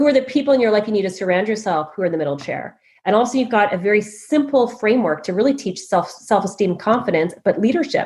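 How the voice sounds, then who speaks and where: Speaking very fast with hardly any pauses, a woman with a Canadian accent uses lively intonation at a fairly high pitch, her voice somewhat breathy. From Canada. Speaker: leadership coach and author. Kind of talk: interview.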